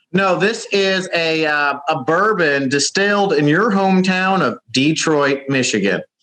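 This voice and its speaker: A man in a Southern accent speaks at a high pitch and a fairly slow pace with hardly any pauses, very even loudness, and a bright, sharp tone. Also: lively intonation. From West Virginia. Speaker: caller from abroad. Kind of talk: casual chat.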